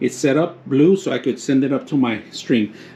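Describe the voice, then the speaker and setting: A man's lively intonation at a moderate pace, over noticeable background noise. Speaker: tech product reviewer. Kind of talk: product review tutorial. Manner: casual, halting with fillers.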